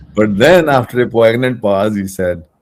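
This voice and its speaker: This man talks at a moderate pace with vocal fry. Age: 80s+. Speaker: scientist, research director. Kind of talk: interview answer.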